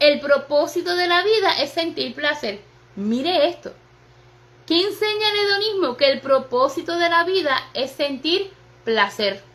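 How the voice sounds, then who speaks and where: A high-pitched woman with a Puerto Rican accent speaks in an animated tone, her pitch swinging very widely. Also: fairly slow pace. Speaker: pastor. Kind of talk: sermon. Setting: livestream on social media.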